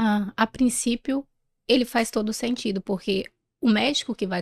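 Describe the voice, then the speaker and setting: A woman's unremarkable speaking voice at medium pitch, with ordinary pitch variation and a moderate pace, on a very clean recording with a silent background and a dry, close sound with no echo. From northern Brazil, interior of Pará. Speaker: pediatrician. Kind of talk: interview. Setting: event recording in Rio de Janeiro.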